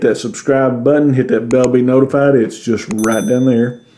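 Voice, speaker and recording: Over noticeable background noise, a man with a Southern US accent talks at a moderate pace. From US South. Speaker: YouTuber. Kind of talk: channel outro.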